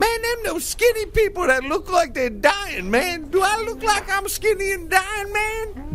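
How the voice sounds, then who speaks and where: A loud, drawling put-on character voice moves at a moderate pace over clear background noise. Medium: comedy sketch. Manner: loud, ends sentences with "man", drawling slang.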